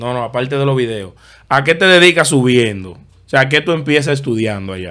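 Against a quiet background, a man speaks at a fairly quick pace with a bright, sharp tone and lively intonation. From Dominican Republic. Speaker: podcast host. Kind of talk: casual interview chat. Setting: studio. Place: studio. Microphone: studio mic.

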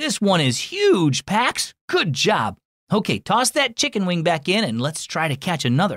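Recorded dry and close with no echo, a man does a put-on character voice at a high pitch, with a fairly bright tone, very wide pitch swings, and a fairly slow pace. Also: very clean recording, silent background.

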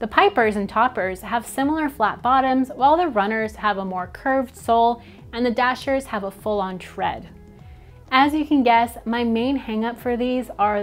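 Faint music sits behind a woman talking at a moderate pace. Her pitch varies in an ordinary way, while her loudness swings widely. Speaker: travel product reviewer. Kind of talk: product review commentary. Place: home room. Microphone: lapel.

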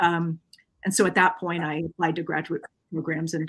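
A woman's bright, sharp tone at a fairly low pitch, over a quiet background. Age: 30s. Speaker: professor; guest professor. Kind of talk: casual chat. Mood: relaxed, friendly. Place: home room.

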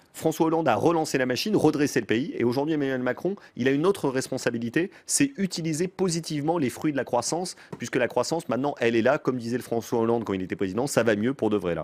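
A man speaks at a very fast pace. His intonation is lively. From France. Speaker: former presidential communications adviser and author; interview guest. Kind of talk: political interview. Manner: quick, lively. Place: studio. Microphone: studio mic.

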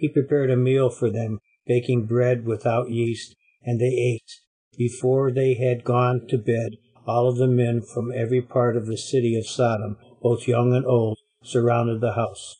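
The speaker's tone is dark and mellow, somewhat breathy. Delivery runs at a moderate pace with monotone, flat intonation. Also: man, medium pitch for a man. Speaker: Bible study participant. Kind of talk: reading scripture aloud. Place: classroom. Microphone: webcam.

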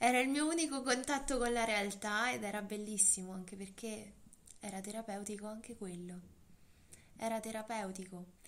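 Heard with audible room echo, a woman with a fairly high pitch speaks at a moderate pace. Her pitch varies in an ordinary way, and she leaves long, frequent pauses. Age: 20s. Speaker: eating disorder survivor. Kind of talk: interview testimony.

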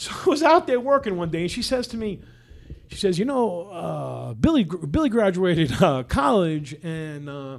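Pitched high, a man speaks at a moderate pace with very wide pitch swings and big swings in loudness. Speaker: podcast host. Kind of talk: casual storytelling interview. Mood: warm, animated. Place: studio. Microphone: studio mic.

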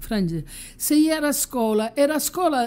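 In a Calabrian accent, a woman speaks at a moderate pace with a high pitch and big pitch swings. The recording is very clean with a silent background. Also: slightly mellow tone. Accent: Calabrese.

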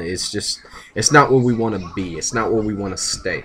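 A man with an American accent speaks at a fairly quick pace, his pitch fairly low. His tone is fairly bright and his intonation lively. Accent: Southern US, Florida and Louisiana.

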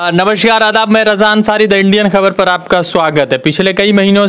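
With fairly even intonation, the man talks at a fairly slow pace. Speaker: street news reporter. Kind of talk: news intro and interview questions. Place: street. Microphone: handheld.

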